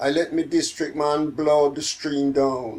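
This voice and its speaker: A man with a Jamaican accent at a very slow pace. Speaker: poet. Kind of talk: poetry reading. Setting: home.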